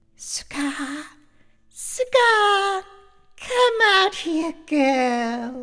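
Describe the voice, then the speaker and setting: A put-on character voice, shrill and extremely high-pitched, leaps through very wide pitch swings. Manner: teasing, calling.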